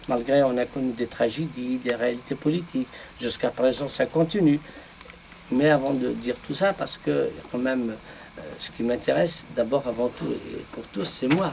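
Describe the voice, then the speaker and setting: Over noticeable background noise, a man with a medium pitch talks at a fairly slow pace with ordinary pitch variation. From Algeria, Kabylie. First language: Kabyle (speaking French). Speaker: poet. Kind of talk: round table discussion. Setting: bookshop with audience. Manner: halting.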